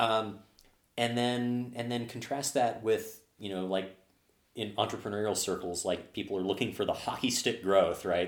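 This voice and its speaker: This is a normal speaking voice. It keeps a moderate pace and fairly even intonation. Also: man. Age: 30s. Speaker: software developer and bar regular. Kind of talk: casual chat.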